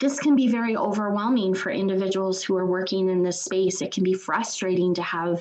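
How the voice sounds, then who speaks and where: A woman's normal speaking voice, medium in pitch with ordinary variation, at a moderate pace. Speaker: trainer. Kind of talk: webinar presentation.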